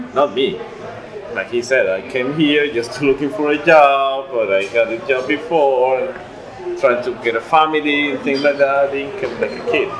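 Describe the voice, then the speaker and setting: A man talks with a fairly high pitch and ordinary pitch variation. His pace is moderate, and noticeable background noise is present. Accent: strong Spanish. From Venezuela. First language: Spanish. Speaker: immigrant interviewee. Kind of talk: casual chat. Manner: halting.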